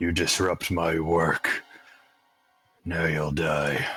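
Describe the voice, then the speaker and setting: A man uses a put-on character voice that is very deep, low and raspy. He speaks very slowly in a flat monotone. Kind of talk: menacing. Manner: ominous.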